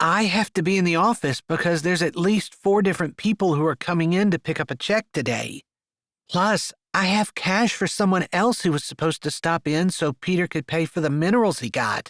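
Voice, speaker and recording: Someone uses a put-on character voice at a middle pitch, moving at a fairly quick pace. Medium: read story.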